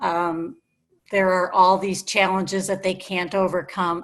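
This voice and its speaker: Here a woman has an unremarkable speaking voice at a medium pitch and a moderate pace. The recording is very clean, with a silent background. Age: 60s. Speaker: audience member. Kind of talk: audience question.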